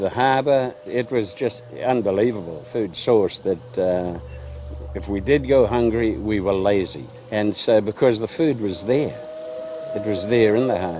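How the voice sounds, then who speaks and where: A man talks at a fairly slow pace with a fairly low pitch and ordinary pitch variation. Noticeable background noise is present. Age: 80s+. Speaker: local elder. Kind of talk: interview recollection.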